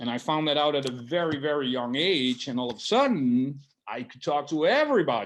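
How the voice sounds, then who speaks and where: A man with a Dutch accent speaks in a fairly high voice. His intonation is lively. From Netherlands. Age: 40s. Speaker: barber. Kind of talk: interview. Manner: halting.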